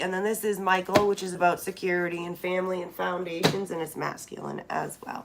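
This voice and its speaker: A woman's medium-pitched voice at a fairly quick pace, with music in the background. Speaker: tarot reader. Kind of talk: tarot reading. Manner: casual.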